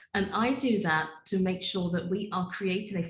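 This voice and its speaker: A woman's somewhat breathy, medium-pitched voice with a British accent at a moderate pace. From UK. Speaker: data privacy attorney and business owner. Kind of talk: podcast interview.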